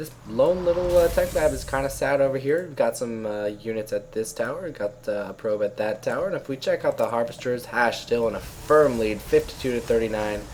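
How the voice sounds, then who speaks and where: Noticeable background noise fills the clip as a man speaks fairly quickly. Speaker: esports caster. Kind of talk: live commentary. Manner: animated.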